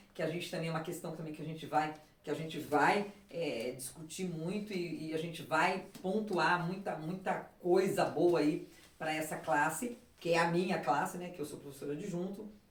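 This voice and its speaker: The loudness rises and falls in big swings, with ordinary pitch variation at a moderate pace. Noticeable background noise and audible room echo fill the recording. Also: woman, fairly low pitch for a woman. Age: 60s. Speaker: political candidate and teacher. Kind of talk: casual interview. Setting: at home. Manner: halting, frequent fillers and repetitions.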